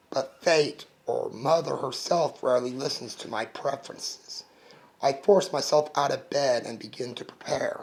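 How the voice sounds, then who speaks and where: Using a raspy, put-on character voice at a fairly high pitch, a man speaks at a moderate pace with big swings in loudness. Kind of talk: audiobook narration. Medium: read story.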